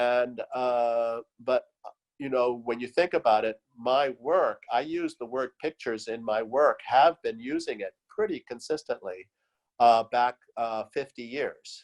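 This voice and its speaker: Recorded dry and close with no echo, a man talks at a fairly slow pace and medium pitch with ordinary pitch variation. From US and Latin America (Venezuela, Chile), California-born. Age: 60s. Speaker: artist. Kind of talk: interview. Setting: video call. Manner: halting, many fillers.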